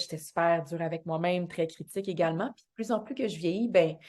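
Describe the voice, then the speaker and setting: Speaking at a fairly quick pace with a Quebec accent, this voice has a dark, mellow tone and fairly even intonation over a quiet background. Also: woman. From Quebec, Montreal South Shore. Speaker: actress and dancer. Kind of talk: podcast interview.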